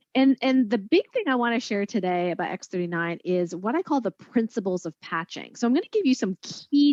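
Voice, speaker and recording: A woman at a medium pitch talks at a fairly quick pace with very wide pitch swings and hardly any pauses, in a dry, close sound with no echo over a quiet background. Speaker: doctor and product distributor. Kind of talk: training talk. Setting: online video call. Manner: fast.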